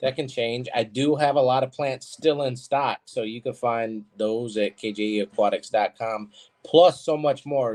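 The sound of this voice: At a moderate pace, a man speaks at medium pitch with a slightly mellow tone and ordinary pitch variation.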